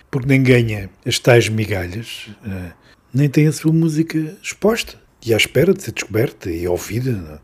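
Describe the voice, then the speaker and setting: This man's medium-pitched voice comes out somewhat breathy. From Beira region, Portugal. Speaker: podcast host. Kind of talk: interview.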